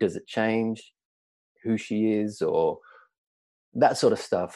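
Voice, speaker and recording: The speaker, with an Australian accent, goes at a fairly slow pace on a very clean recording with a silent background. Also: man. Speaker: actor. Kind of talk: casual chat.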